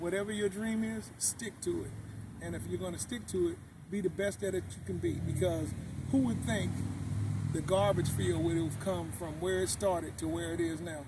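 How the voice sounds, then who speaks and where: A man with an American accent speaks in a medium pitch at a moderate pace. His pitch swings very widely, and audible room echo surrounds him. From US West Coast, Oakland, California. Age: 60s. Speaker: car owner and city sanitation supervisor. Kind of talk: interview.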